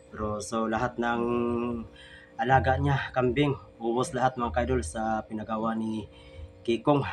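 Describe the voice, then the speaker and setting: A man's speech, moderately paced with ordinary pitch variation, plays over music in the background. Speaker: vlogger. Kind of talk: casual vlog narration.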